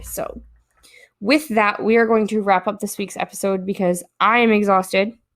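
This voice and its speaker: Moderate pace and fairly even intonation. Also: woman. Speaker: podcast host. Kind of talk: casual chat. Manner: low energy.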